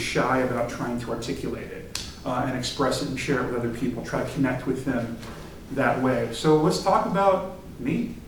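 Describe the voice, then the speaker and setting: Over noticeable background noise and audible room echo, a man talks at a moderate pace with a medium pitch. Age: 40s. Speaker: theater director. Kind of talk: talk to a student group. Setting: meeting with audience. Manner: halting, many fillers.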